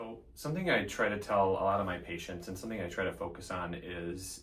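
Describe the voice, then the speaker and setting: In an Upper Midwest accent, a man with a fairly low, somewhat breathy voice speaks with lively intonation amid audible room echo. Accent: Upper Midwest American. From Central Minnesota, Elk River. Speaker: physician assistant. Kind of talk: interview monologue; tutorial. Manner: frequent fillers (um).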